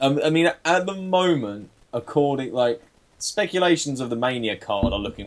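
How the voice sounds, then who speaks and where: A man with an English accent talks at a medium pitch. His pace is moderate and his intonation lively. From England. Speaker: wrestling podcast co-host. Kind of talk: casual chat.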